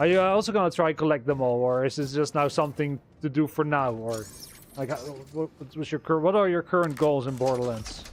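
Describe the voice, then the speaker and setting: In a plain, everyday voice, a man speaks at a fairly quick pace with a fairly high pitch and ordinary pitch variation. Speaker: gaming streamer. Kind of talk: live gameplay stream chat. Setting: live stream.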